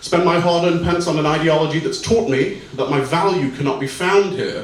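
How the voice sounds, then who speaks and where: Here a man speaks fairly quickly at a high pitch with ordinary pitch variation, amid noticeable background noise and audible room echo. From Britain. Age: 20s. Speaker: spoken word poet. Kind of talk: poetry performance; stage banter. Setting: stage with audience. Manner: fast.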